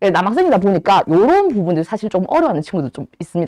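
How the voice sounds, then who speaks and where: This woman's voice has a dark, mellow tone and very wide pitch swings. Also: dry, close sound with no echo. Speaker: Korean language cram-school teacher. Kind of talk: lecture. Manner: talkative, admits to nagging a lot.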